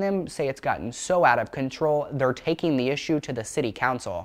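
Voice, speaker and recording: A man at a fairly quick pace with a fairly high pitch, music in the background. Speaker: TV news reporter. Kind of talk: TV news report and standups.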